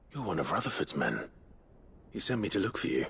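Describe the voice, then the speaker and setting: Against clear background noise, a man in a put-on character voice rattles along at a very fast pace with a medium pitch. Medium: video game. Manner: steady, controlled.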